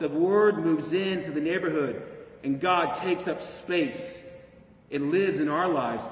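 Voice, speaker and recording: The speaker talks at a moderate pace with lively intonation over noticeable background noise. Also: man, high pitch for a man. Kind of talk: reflective homily, preached delivery.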